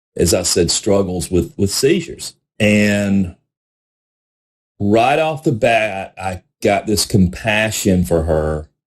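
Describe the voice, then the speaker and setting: With a Southern US accent, a man speaks at a very slow pace with lively intonation and long, frequent pauses. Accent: Southern US country. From South Carolina. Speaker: podcast host, recovery advocate. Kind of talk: personal testimony. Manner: conversational, repetitive fillers.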